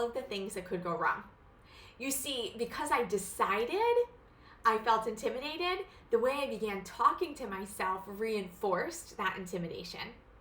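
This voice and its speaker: At a moderate pace, a woman speaks with a fairly high pitch and lively intonation. Noticeable background noise sits behind her. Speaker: counselor and coach. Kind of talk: tutorial. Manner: casual, conversational.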